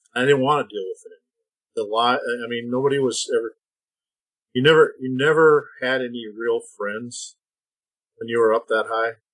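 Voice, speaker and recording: Long, frequent pauses break up speech in an Upper Midwest accent, delivered at a moderate pace with fairly even intonation and big swings in loudness. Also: man, medium pitch for a man. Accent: Upper Midwest American. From US Midwest (Minnesota/Iowa). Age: 60s. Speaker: retired feed industry executive. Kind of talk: podcast interview. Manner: halting.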